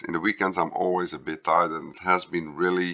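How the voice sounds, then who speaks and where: Putting on a character voice, a man speaks raspy and very deep at a moderate pace with fairly even intonation. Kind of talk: casual, addressing viewers. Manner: slow, tired speech.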